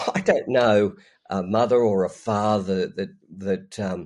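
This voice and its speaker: A man in an Australian accent, fairly low-pitched, with ordinary pitch variation. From Australia, Newcastle NSW. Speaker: ministry leader. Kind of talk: casual interview. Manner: hesitant, many fillers.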